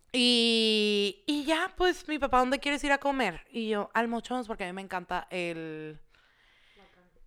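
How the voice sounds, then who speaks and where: On a very clean recording with a silent background, a woman with a Mexican accent speaks at a fairly slow pace in a fairly high, bright, sharp voice, with very wide pitch swings and big swings in loudness. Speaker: podcast guest. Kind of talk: casual chat. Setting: studio.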